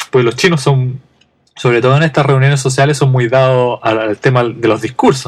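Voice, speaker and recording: This man speaks with a Chilean accent in a medium pitch. His voice is somewhat breathy, with fairly even intonation at a moderate pace. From Chile, Santiago. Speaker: podcast host. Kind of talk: casual monologue.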